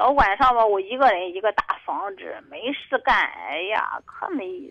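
At a moderate pace, a woman is talking. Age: 50s. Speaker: caller seeking advice. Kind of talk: call-in advice talk. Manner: halting.

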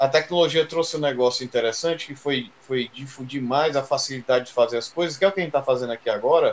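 The delivery has a very fast pace with hardly any pauses. Pitch variation is ordinary. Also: man, fairly high pitch for a man. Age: 30s. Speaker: drummer. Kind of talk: casual chat.

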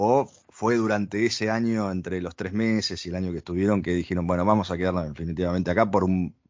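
This man's pitch is very deep and low. His intonation is fairly even. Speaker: podcast host. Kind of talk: interview.

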